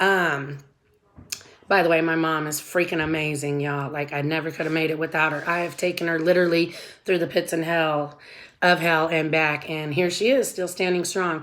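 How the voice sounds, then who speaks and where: Fairly low in pitch, a woman speaks in a plain, everyday voice at a moderate pace with fairly even intonation. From Southern California. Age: 40s. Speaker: vlogger. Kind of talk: casual personal vlog. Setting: at home before work.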